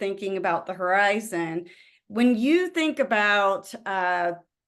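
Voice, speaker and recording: Against a quiet background, a woman talks at a very slow pace. Her intonation is lively, in a Southern US accent. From US South. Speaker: webinar host, company executive. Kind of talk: webinar interview.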